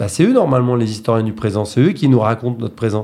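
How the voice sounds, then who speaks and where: This man's tone is dark and mellow. His voice sits at a medium pitch. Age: 40s. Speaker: actor and theatre director. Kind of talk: radio interview. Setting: radio studio. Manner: halting, many hesitations.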